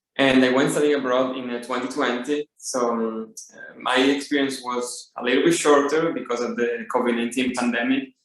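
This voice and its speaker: In an Italian accent, a man speaks at a medium pitch. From Italy. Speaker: study abroad alum, MBA student. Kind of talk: panel introduction. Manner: halting, many fillers.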